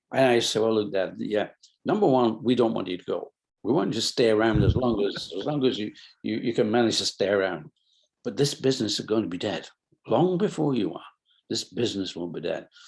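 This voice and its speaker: Against a quiet background, a man with a Lancashire accent speaks fairly quickly at a medium pitch, with lively intonation and long, frequent pauses. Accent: northern English (Lancashire). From Bolton, England. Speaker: businessman, company founder. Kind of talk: interview answer.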